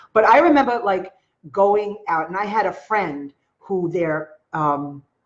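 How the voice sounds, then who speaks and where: A woman speaks with a strong Long Island accent. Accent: Long Island New York accent, strong. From Long Island, New York; New York. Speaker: online marketer; storyteller vlogger. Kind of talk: live stream talk to viewers. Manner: casual, conversational. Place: home room. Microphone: webcam.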